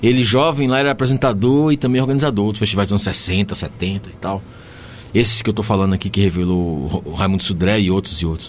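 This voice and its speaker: The speaker talks very fast in a Bahian accent. Noticeable background noise is present. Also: man. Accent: Bahian Brazilian Portuguese. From Bahia, Brazil (Gandu, southern Bahia). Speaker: singer-songwriter and musician. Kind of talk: casual radio interview. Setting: radio studio. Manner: warm, animated.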